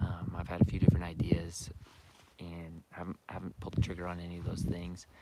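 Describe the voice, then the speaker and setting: A quiet man's very deep, low voice, dark and mellow in tone, at a fairly quick pace. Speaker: archery and hunting YouTuber. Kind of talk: live stream Q&A. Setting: outdoors, turkey scouting. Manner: quiet, hushed; casual, filler-heavy.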